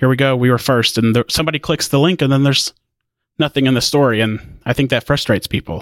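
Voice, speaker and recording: A man with an American accent talks at a very fast pace, his loudness very even and his pitch varying in the ordinary way, in a dry, close sound with no echo. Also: medium pitch for a man. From Indiana. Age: 20s. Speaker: tech news editor. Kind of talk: casual interview.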